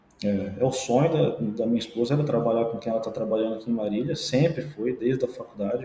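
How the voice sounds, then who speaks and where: A man's ordinary speaking voice, medium in pitch, with lively intonation. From interior of São Paulo state, Brazil. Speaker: forensic medical examiner and orthopedist. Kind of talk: podcast interview.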